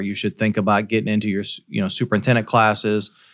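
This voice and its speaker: The speaker has a Midwestern US accent on a very clean recording with a silent background. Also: man. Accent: US Midwest. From Iowa, Davenport / Quad Cities area. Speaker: school superintendent. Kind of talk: interview.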